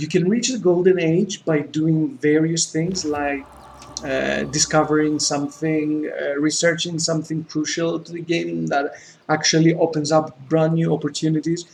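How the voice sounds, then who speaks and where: Noticeable background noise sits behind a man speaking with a Greek accent. His pitch is fairly high, his pace moderate, and his intonation fairly even. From Greece. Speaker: gaming YouTuber. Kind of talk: let's play gameplay commentary. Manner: hesitant, with many fillers and repetitions.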